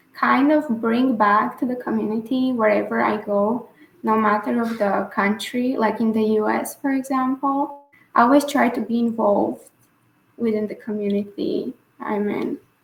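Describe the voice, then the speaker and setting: At a moderate pace, a woman with a fairly high, somewhat breathy voice talks with ordinary pitch variation. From Bulgaria. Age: 20s. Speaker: scholar and activist. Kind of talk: interview answer.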